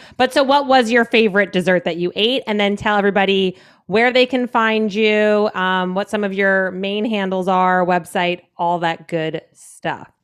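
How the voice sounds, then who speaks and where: On a very clean recording with a silent background, an unremarkable speaking voice with an American accent moves at a moderate pace with hardly any pauses and ordinary pitch variation. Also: woman, medium pitch for a woman. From New Jersey. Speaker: podcast host. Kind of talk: casual chat.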